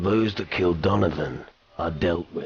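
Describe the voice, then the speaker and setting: A man's growling put-on character voice, very deep and low, with ordinary pitch variation at a moderate pace. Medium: video game. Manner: dry, laconic.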